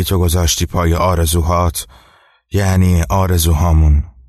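Against a quiet background, a man with a very deep, low voice talks at a fairly slow pace in a flat monotone. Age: 20s. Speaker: storytelling podcaster. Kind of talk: storytelling narration.

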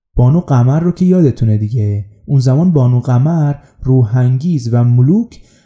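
Somewhat breathy, a man speaks at a moderate pace with lively intonation. His tone is dark and mellow. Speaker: podcast host. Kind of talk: scripted narration.

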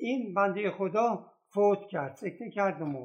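This man talks at a fairly slow pace, his high voice rising and falling in lively intonation. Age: 80s+. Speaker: retired postal worker, elder staff member at an education foundation. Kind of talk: interview.

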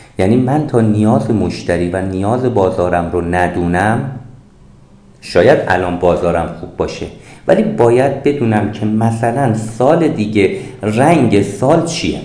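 A man speaks at a fairly slow pace with lively intonation and fairly low pitch. There is audible room echo. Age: 50s. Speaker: author and business consultant. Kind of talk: interview.

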